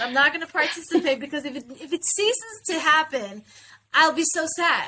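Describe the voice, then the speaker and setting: A woman projects a raised voice with a bright, sharp tone, ordinary pitch variation and a moderate pace. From South Africa. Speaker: interview guest, actor. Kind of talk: casual interview conversation.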